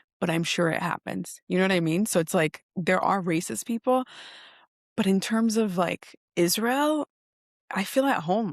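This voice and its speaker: An unremarkable speaking voice from a woman with an American accent, medium pitch, ordinary pitch variation, moderate pace and very even loudness, dry, close sound with no echo against a quiet background. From Oregon, US. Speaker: social media advocate. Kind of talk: interview conversation. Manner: casual, filler-heavy.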